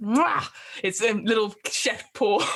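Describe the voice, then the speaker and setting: A woman uses a put-on character voice and talks at a very slow pace. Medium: actual play. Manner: boastful, excitable.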